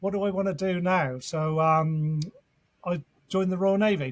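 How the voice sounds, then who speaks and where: A man with an English accent speaks at a moderate pace with fairly even intonation. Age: 60s. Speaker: fitness coach and former navy serviceman. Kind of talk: podcast interview. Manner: hesitant with fillers.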